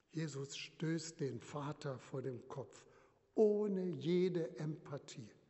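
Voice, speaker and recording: A man talks at a very slow pace. His pitch is fairly high, with ordinary pitch variation. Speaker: retired bishop preaching. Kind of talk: sermon in church, measured pulpit delivery, solemn and earnest. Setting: church. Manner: formal; measured, rhetorical, emphatic with repetition.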